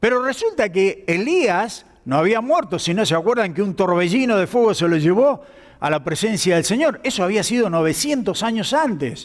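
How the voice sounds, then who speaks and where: A man's high-pitched voice with lively intonation and very even loudness. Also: moderate pace. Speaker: pastor. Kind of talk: sermon.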